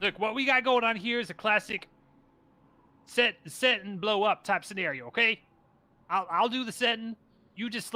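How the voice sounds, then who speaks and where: A man does a put-on character voice with a high pitch. He talks at a moderate pace, with long, frequent pauses. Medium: actual play. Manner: snippy, impatient, put-upon.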